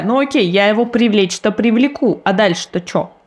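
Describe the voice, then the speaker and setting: A woman is speaking. Her pace is moderate. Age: 30s. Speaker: podcast co-host. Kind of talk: casual chat.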